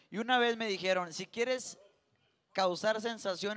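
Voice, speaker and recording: A man's voice with an animated tone. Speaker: co-host. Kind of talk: casual chat.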